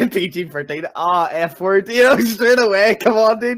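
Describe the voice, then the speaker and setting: With an Irish accent, the speaker goes at a fairly slow pace with ordinary pitch variation. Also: man. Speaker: community talk show co-host. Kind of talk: casual chat.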